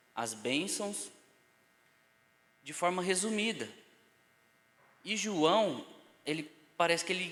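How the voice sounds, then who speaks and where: At a fairly slow pace, the voice comes across with a bright, sharp tone. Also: man. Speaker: Bible teacher. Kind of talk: lecture.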